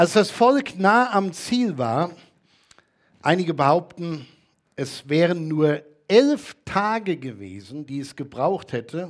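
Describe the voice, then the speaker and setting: Speaking at a very slow pace, a man with a fairly high pitch lets his voice swing very widely up and down. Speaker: preacher. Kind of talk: sermon. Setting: church. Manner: earnest, teacherly, steady.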